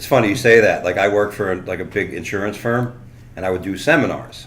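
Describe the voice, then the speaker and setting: A man's fairly low voice with ordinary pitch variation, at a fairly quick pace amid audible room echo. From South Florida. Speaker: comedian. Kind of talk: casual chat.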